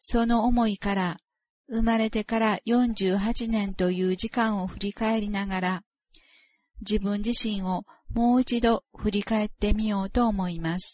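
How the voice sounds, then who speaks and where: A woman talks in a plain, everyday voice, fairly high in pitch. Her pace is fairly slow and her intonation fairly even. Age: 50s. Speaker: author of a spiritual memoir. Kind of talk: reading aloud.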